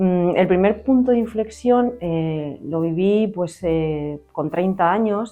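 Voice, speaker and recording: Speech at a very slow pace runs on with hardly any pauses over music in the background. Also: woman, medium pitch for a woman, ordinary pitch variation. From Spain, Valladolid. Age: 40s. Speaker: employment support worker. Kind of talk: interview answers. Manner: hesitant, many fillers.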